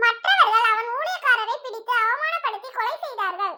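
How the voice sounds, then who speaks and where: Squeaky and at an extremely high pitch, a woman talks at a moderate pace with ordinary pitch variation. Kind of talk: Bible reading. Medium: read story. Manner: measured, formal, reverent.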